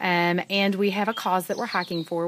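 Speaking at a moderate pace with a Southern US accent, a woman keeps a fairly low pitch and fairly even intonation. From US South, East Tennessee. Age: 40s. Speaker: thru-hiker. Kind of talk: field interview. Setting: outdoors at trail shelter.

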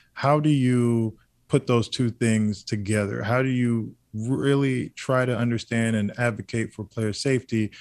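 A man with a plain, everyday voice talks at medium pitch and a moderate pace. His intonation is fairly even, on a very clean recording with a silent background. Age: 30s. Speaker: former football player. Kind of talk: sports talk radio.

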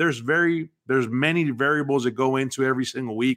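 In a normal speaking voice, a man with an American accent talks at a fairly quick pace and fairly high pitch on a very clean recording with a silent background. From South Texas, Mexican-born. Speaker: former pro football player. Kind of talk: casual interview.

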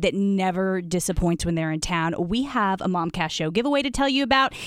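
An ordinary speaking voice carries lively intonation. The recording is very clean, the background silent. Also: woman. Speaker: podcast host. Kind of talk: casual chat. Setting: studio.

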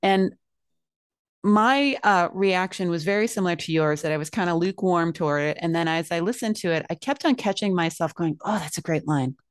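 A woman talks at a fairly quick pace in an ordinary speaking voice, fairly low in pitch with ordinary pitch variation. The background is quiet. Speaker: podcast co-host. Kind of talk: casual podcast chat.

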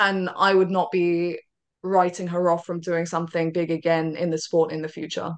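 The speaker has a British accent and a monotone, flat intonation. The pace is moderate. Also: woman, fairly low pitch for a woman. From Britain. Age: young. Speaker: tennis commentator. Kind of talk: casual interview chat.

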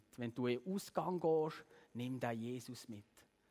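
Ordinary pitch variation from a man, very clean recording, silent background. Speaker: youth preacher. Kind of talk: sermon. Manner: animated.

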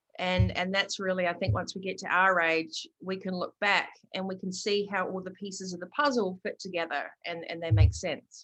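A woman's voice at a moderate pace, with hardly any pauses and ordinary pitch variation. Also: medium pitch for a woman. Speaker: author and coach. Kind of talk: author interview, conversational. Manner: energetic, animated.

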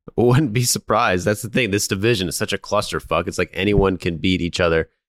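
This man talks at a fairly quick pace in an ordinary speaking voice, his fairly low pitch carried by lively intonation, with a dry, close sound with no echo on a very clean recording against a silent background. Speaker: podcast co-host. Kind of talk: casual chat.

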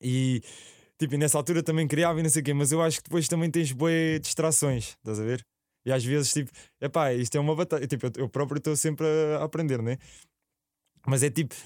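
On a very clean recording with a silent background, a man speaks at a fairly quick pace with long, frequent pauses. His fairly high voice holds a very even loudness and ordinary pitch variation. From Portugal, Alhandra near Lisbon. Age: 20s. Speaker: visual artist and sculptor. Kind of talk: casual interview chat.

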